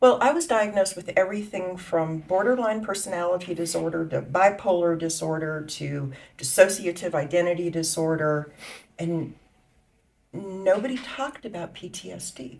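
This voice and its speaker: In a normal speaking voice, a woman with fairly low pitch talks at a moderate pace, with ordinary pitch variation and big swings in loudness. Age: 60s. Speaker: patient. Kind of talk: testimony.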